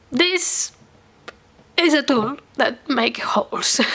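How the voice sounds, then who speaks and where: Noticeable background noise sits behind a woman talking at a very slow pace. Her voice is high-pitched, with very wide pitch swings. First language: Catalan or Spanish. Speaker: crafting YouTuber. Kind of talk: product demo tutorial. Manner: halting, hesitant.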